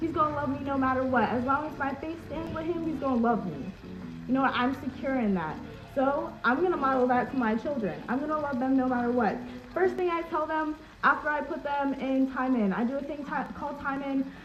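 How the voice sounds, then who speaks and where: A woman talks loudly and in an animated way, at a high pitch with ordinary pitch variation and a fairly quick pace. Music plays in the background, and room echo is audible. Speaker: social media creator. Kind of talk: live stream chat. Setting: live video stream.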